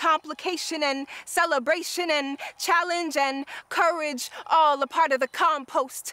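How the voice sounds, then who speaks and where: In a raised, projected voice, a woman speaks high-pitched and fairly slowly with ordinary pitch variation, the sound dry with no echo. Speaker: spoken word poet. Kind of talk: spoken word poetry performance. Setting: outdoors at a wetlands park. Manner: rhythmic, lyrical, impassioned; deliberate, emphatic cadence. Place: open country.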